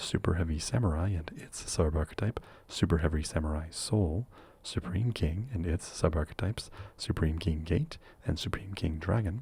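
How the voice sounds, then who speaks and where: Soft-spoken and somewhat breathy, a man talks at a moderate pace in a very deep, low, dark, mellow voice with ordinary pitch variation. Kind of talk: ASMR question and answer talk.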